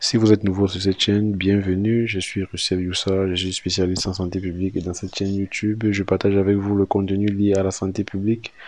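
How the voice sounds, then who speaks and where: Over a quiet background, the speaker talks at a fairly quick pace in a monotone, flat intonation with hardly any pauses. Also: man, fairly low pitch for a man. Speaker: public health specialist, YouTuber. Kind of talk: tutorial. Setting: hotel room.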